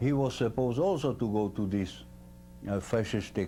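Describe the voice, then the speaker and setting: Here a man speaks with a Slovak accent. His pitch is fairly low, with ordinary pitch variation. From central Slovakia. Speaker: war veteran. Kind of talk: interview. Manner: halting.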